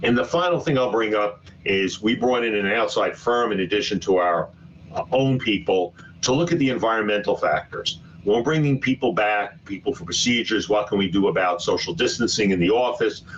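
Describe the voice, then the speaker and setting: Speaking with a New York accent, a man uses a medium pitch and lively intonation at a fairly quick pace. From Brooklyn, New York City. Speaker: physician and hospital executive. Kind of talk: webinar presentation. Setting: online webinar. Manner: fast.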